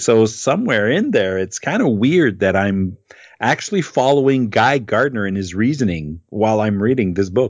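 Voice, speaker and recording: Speaking with a French accent, a man with a fairly low pitch keeps a moderate pace and lively intonation. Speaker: podcast co-host. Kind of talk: casual chat.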